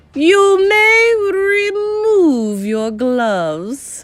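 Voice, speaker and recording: An extremely high-pitched, raspy, robotic and growling put-on character voice from a woman. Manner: shouting, snarling.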